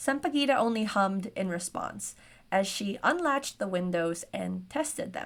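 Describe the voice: The plain reading aloud has lively intonation.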